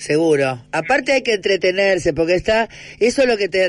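The speaker keeps a moderate pace with lively intonation. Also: man. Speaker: radio host. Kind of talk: radio interview.

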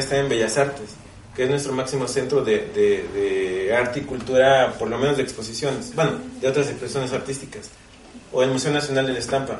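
With a Mexican accent, a man talks at a very fast pace and a fairly high pitch, with ordinary pitch variation. Noticeable background noise and audible room echo are present. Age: 40s. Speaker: printmaker artist. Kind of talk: panel discussion at book launch. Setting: bookstore with live audience.

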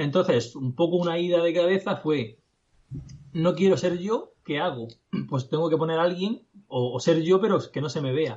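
Speaking at a moderate pace, a high-pitched man uses ordinary pitch variation. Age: 20s. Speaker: digital entrepreneur. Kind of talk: casual interview. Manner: halting.

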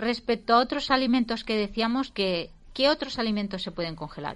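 A woman with a normal speaking voice talks at a moderate pace with lively intonation against a quiet background. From Valencia, Spain. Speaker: radio cooking show host. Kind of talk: casual radio chat.

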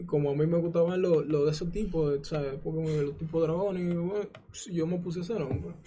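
Speech comes at a fairly quick pace with fairly even intonation. Audible room echo and noticeable background noise are present. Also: man, high pitch for a man. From Dominican Republic, San Cristóbal. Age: 20s. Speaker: gamer and streamer. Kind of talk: interview.

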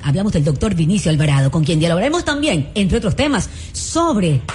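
A woman speaking at a fairly quick pace with very wide pitch swings over noticeable background noise. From Ecuador, Santa Elena coast. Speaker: radio co-host. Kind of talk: radio hosting.

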